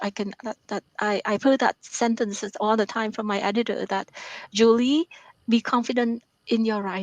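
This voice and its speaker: With a Vietnamese accent, a woman speaks at a moderate pace and fairly high pitch, her intonation fairly even. The sound is dry and close, with no echo. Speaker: author and math professor. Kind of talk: interview. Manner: halting.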